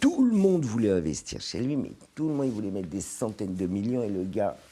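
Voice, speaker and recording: His fairly low pitch and dark, mellow tone carry lively intonation as the man talks at a fairly quick pace. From France, grew up in a housing estate. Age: 60s. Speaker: business executive. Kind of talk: podcast interview. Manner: hesitant, many repetitions.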